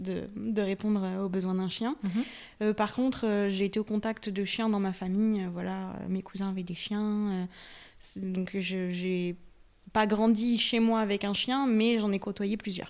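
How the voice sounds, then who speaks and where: The speaker talks at a very slow pace in a flat monotone, on a very clean recording with a silent background. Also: woman, medium pitch for a woman. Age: 20s. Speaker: dog training enthusiast. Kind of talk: casual chat.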